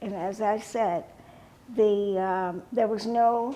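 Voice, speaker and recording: Very slow and dark, mellow in tone, a woman's medium-pitched voice keeps fairly even intonation. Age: 80s+. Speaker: author, educator and civil rights activist. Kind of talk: interview answer.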